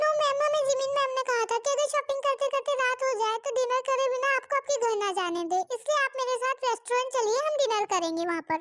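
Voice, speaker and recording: A woman does a put-on character voice at an extremely high pitch with ordinary pitch variation. She moves at a fairly quick pace with hardly any pauses. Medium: fan dub.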